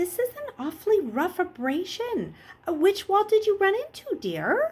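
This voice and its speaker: In a put-on character voice, a woman squeaks at an extremely high pitch with very wide pitch swings, keeping a moderate pace. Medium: read story. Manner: fussy, motherly.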